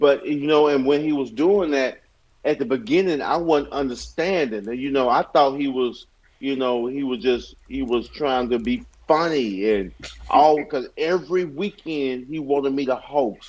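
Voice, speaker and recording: A Southern US accent with ordinary pitch variation at a moderate pace. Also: man, fairly high pitch for a man. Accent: Southern, country. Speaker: stand-up comedian. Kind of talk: podcast interview, casual chat.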